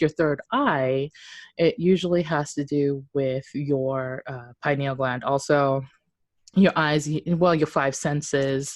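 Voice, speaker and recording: Her pitch very deep and low, a woman with a non-native accent keeps fairly even intonation over a quiet background. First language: not English. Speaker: podcast co-host. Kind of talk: casual chat. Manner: hesitant, many fillers.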